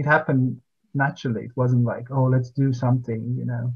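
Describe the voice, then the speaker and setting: A somewhat breathy man's voice, monotone and flat, against a quiet background. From Latvia. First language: Latvian. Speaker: poet. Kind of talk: interview. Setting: video call. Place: home room. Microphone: video call.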